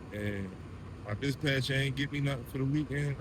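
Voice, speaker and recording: Spoken in an American accent, the voice shows ordinary pitch variation. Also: man. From Delaware and Baltimore, US Mid-Atlantic. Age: 30s. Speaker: truck driver. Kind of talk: storytime monologue. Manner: casual, rambling with repetitions.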